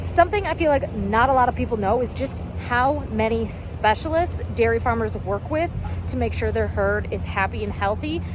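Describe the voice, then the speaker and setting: There is noticeable background noise as a woman with an American accent speaks at a moderate pace. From Wisconsin, USA. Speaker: dairy farmer, vlogger. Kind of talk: casual talk to camera. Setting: outdoors on a farm.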